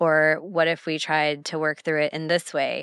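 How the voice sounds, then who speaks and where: Against a quiet background, a woman speaks with an American accent. Her pitch is fairly low and her intonation monotone and flat. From Texas, USA. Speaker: podcast co-host, entrepreneur. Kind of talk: casual chat.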